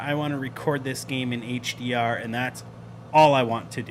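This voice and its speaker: With noticeable background noise, a man speaks at a fairly slow pace and medium pitch, with ordinary pitch variation. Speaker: flight sim streamer. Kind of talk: live stream chat. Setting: live stream. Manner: casual, filler-heavy; loud.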